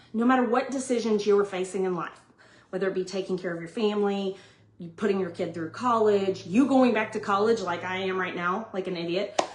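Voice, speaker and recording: Over noticeable background noise, a woman of medium pitch talks at a fairly quick pace with ordinary pitch variation. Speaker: vlogger sharing family life advice. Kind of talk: casual monologue. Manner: loud; animated.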